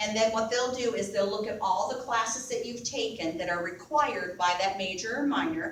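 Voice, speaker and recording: The pitch swings very widely, and there is audible echo from the room. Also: woman. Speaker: university academic advisor. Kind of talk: presentation to students. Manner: fast.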